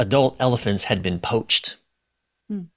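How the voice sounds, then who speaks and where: The speaker is a man with a medium-pitched voice. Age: 40s. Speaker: relationship coach and author. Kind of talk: casual chat. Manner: halting.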